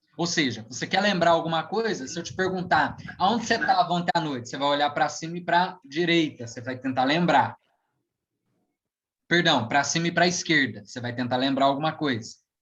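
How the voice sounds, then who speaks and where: In an ordinary speaking voice, the words come at a fairly quick pace with ordinary pitch variation. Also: man, fairly high pitch for a man. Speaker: hypnotherapist and NLP practitioner. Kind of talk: online lecture talk. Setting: live stream.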